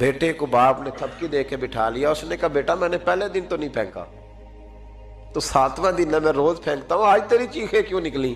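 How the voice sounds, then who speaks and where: Music plays in the background as a man speaks at a fairly high pitch with lively intonation. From Pakistan. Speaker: Islamic scholar and preacher. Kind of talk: Islamic sermon (bayan). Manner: emotional, storytelling.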